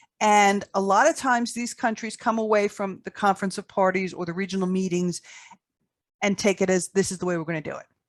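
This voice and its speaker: In a New York accent, a woman talks at a fairly quick pace and medium pitch with ordinary pitch variation, her sound dry and close with no echo against a quiet background. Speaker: tobacco harm reduction advocate. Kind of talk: podcast interview.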